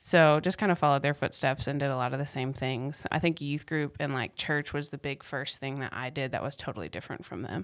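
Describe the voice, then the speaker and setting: On a very clean recording with a silent background, a woman speaks in an American accent at a very deep, low pitch. Her pace is fairly quick, with hardly any pauses and ordinary pitch variation. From US South, North Carolina (Raleigh area). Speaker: church worker. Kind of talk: casual interview.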